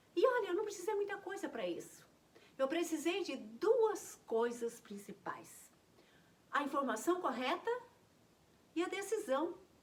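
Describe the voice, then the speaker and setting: An extremely high-pitched female voice at a fairly slow pace, with very wide pitch swings and long, frequent pauses. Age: 60s. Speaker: naturopathy teacher. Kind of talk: health talk to camera.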